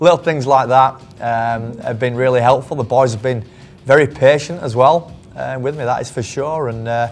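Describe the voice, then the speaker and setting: In a strong northern English accent, a man speaks at a fairly quick pace in a medium-pitched voice. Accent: thick northern English. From northern England. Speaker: cricket team physiotherapist. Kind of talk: interview. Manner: halting, many repetitions.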